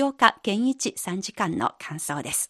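Over a quiet background, a woman at medium pitch talks at a fairly slow pace with very wide pitch swings, the sound dry and close with no echo. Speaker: radio host. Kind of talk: radio interview program.

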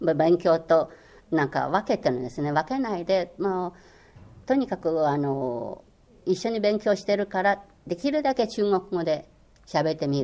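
A woman with a Chinese accent speaks at a moderate pace in a fairly low voice with a dark, mellow tone. Her pitch swings very widely. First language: Chinese (speaking Japanese). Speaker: former Chinese language course instructor. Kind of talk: interview. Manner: hesitant, many fillers.

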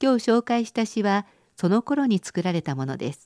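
This woman's voice sits at a medium pitch and swings very widely in pitch. The sound is dry and close with no echo, and the background is quiet. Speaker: radio presenter. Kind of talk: scripted narration.

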